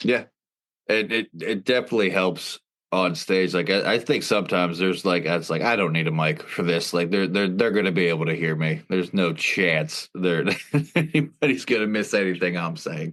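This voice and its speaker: Over a quiet background, a man talks at a moderate pace in a very deep, low voice with ordinary pitch variation. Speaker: comedian and podcast host. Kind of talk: casual chat. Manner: loud.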